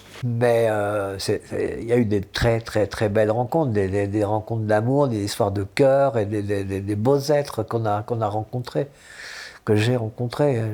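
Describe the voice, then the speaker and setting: Fairly low and dark, mellow in tone, a man's voice unfolds at a fairly slow pace with fairly even intonation on a very clean recording with a silent background. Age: 70s. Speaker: former hippie trail traveler. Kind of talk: interview testimony. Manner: halting.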